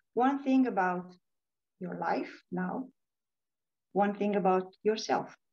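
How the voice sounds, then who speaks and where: A woman with a Romanian accent speaks very slowly, with long, frequent pauses and ordinary pitch variation. Room echo is audible. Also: medium pitch for a woman. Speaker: leadership coach and author. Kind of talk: conference talk.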